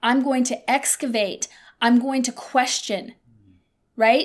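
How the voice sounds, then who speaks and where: A woman talks in a high voice with an animated tone. Her pitch variation is ordinary. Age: 50s. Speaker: podcast host. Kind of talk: casual chat.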